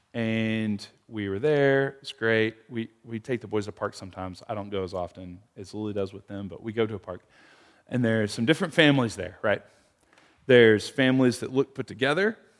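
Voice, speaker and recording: A man with a plain, everyday voice talks at a fairly quick pace and medium pitch, with ordinary pitch variation and big swings in loudness, on a very clean recording with a silent background. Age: 30s. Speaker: pastor. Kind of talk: prayer; interactive bible study. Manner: casual.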